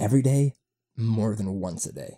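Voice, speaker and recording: With an American accent, a man speaks at a moderate pace in a dark, mellow tone with vocal fry and lively intonation, recorded dry and close with no echo. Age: 20s. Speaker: podcast host. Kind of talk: casual monologue. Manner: halting, many fillers.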